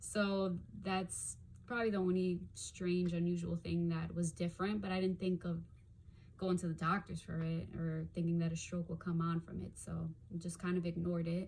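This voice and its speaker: Somewhat breathy and monotone with flat intonation, a woman talks at a moderate pace in a fairly low pitch. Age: 30s. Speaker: stroke survivor. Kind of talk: personal testimony. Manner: halting, with frequent fillers; occasional stuttering and blanking out.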